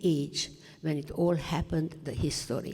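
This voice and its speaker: Audible room echo surrounds the recording. The speaker is a woman. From Romania, Transylvania. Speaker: Holocaust survivor. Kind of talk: testimony talk to students. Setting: high school classroom. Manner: halting.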